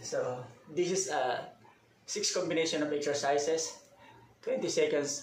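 There is audible room echo and light background noise as a man speaks at a fairly slow pace with ordinary pitch variation. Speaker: fitness vlogger. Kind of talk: casual vlog chat. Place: empty room. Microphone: camera far.

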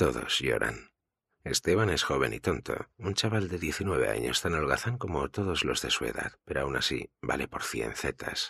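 A man with a very deep, low pitch speaks at a fairly slow pace, his dramatic delivery full of very wide pitch swings and vocal fry. His tone is bright and sharp, and the sound is dry and close with no echo. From Spain. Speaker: audiobook narrator. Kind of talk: audiobook narration.

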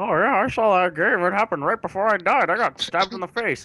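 Delivered at a very fast pace, this put-on character voice sits at a middle pitch. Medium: game stream. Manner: casual, offhand small talk.

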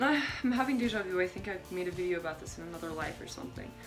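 A woman talking at a very fast pace, with faint music in the background. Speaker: vlogger. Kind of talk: casual vlog chat. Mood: reflective, self-amused. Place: bathroom. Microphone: phone near.

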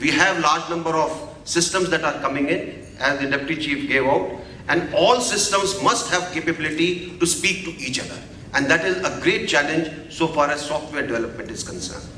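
A man talks at a fairly quick pace with ordinary pitch variation. Audible room echo and light background noise come through. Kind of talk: formal address at a seminar. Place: hall. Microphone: podium.

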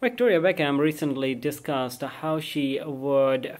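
A man's very slow speech with ordinary pitch variation. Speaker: news reader vlogger. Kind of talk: reading entertainment news. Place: home room. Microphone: phone near.

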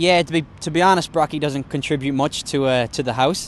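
A man with an Irish accent and fairly even intonation, in a dry sound with no echo. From Ireland (County Mayo). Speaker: professional Australian rules footballer. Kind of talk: casual interview. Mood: relaxed, joking. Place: stadium. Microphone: handheld.

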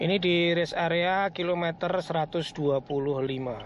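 A man's fairly high voice at a moderate pace, with ordinary pitch variation.

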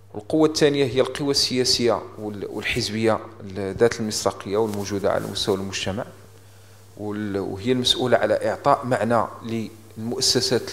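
Fairly even intonation runs through a man's speech at a moderate pace. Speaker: speaker. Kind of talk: formal conference talk. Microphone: handheld.

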